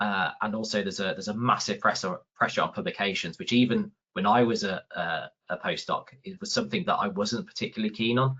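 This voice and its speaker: Speaking at a very fast pace with hardly any pauses, a man talks in a Birmingham accent. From England, Birmingham. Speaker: research facilitator. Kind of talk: webinar talk. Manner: halting, many repeated words.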